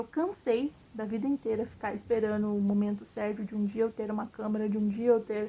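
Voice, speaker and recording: A woman speaks at a fairly high pitch and sounds somewhat breathy. Her intonation is monotone and flat. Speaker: vlogger. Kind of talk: casual monologue vlog. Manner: casual, filler-heavy.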